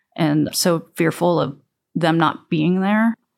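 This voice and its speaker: A woman with an American accent and an unremarkable speaking voice, fairly low in pitch with ordinary variation, at a moderate pace, on a very clean recording with a silent background. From upstate New York, US. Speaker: lawyer. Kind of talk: interview testimony.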